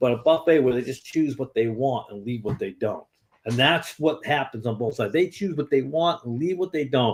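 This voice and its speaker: This man talks at a fairly quick pace at a medium pitch, somewhat breathy, with ordinary pitch variation. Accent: American. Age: 50s. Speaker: lay preacher. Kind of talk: informal exhortation to online viewers. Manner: halting, many repetitions and fillers.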